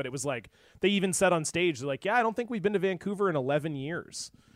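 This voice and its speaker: A man with a Canadian accent. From western Canada, near US border. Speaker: podcaster. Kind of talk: casual chat. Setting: remote call.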